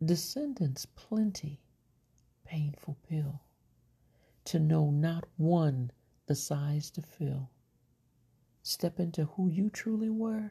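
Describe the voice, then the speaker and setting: A woman's fairly low, dark, mellow voice, somewhat breathy, at a very slow pace with long, frequent pauses, ordinary pitch variation, and a quiet background. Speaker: poet. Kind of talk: poetry reading, performed poem. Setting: home recording, late at night. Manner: measured, rhythmic, expressive delivery; casual, chatty, slightly scattered intro.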